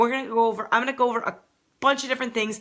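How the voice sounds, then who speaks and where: In a very clean recording with a silent background, a woman speaks with a bright, sharp tone. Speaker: triathlon coach. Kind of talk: live video tutorial. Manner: fast.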